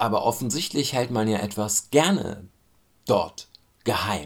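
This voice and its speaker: This man has a plain, everyday voice pitched fairly low. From Germany. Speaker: commentator. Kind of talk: spoken commentary.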